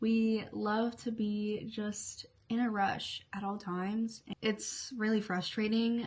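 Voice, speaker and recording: A woman speaks very slowly in a monotone with flat intonation. Background noise is noticeable. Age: 20s. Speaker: beauty and lifestyle vlogger. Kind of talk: casual chat while doing makeup. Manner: halting, many fillers.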